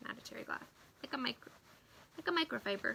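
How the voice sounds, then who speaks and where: A woman's raised, projected voice carries an animated tone. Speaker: craft demonstrator and product seller. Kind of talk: live-stream craft tutorial.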